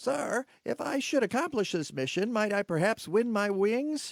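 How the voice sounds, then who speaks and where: Putting on a character voice, a man speaks in a high pitch with a timid tone at a moderate pace. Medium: comedy sketch. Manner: timid, deferential.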